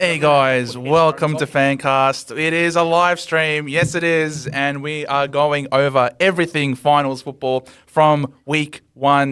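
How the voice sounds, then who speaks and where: A fairly high-pitched man with an Australian accent, very slow yet with hardly any pauses, monotone and flat, bright and sharp in tone. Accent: Australian, unchanged. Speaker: AFL podcast host. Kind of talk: casual sports chat. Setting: live stream.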